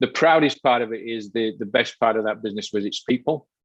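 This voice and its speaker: A man's fairly low voice in a Yorkshire accent, fairly quick in pace and fairly even in intonation, with a dry, close sound and no echo. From Yorkshire, northern England. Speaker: behavioral coach. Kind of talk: podcast interview.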